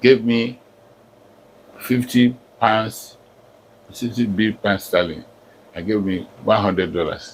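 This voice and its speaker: A man talks at a very slow pace in a fairly low pitch. He leaves long, frequent pauses. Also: ordinary pitch variation. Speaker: professor. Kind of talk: life story interview.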